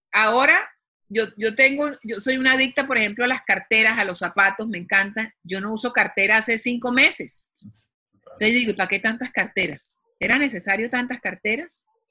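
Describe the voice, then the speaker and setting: Her voice is bright and sharp, pitched fairly high for a woman. She keeps a moderate pace with ordinary pitch variation. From Colombia. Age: 50s. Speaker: TV executive producer and author. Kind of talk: interview.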